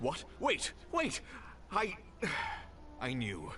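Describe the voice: A man's put-on character voice, fairly high-pitched and bright and sharp in tone, with very wide pitch swings at a very slow pace over faint background music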